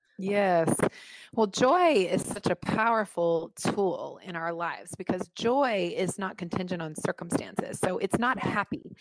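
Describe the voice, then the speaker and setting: A woman's ordinary speaking voice at medium pitch, with ordinary pitch variation and a fairly slow pace. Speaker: author. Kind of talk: casual interview chat.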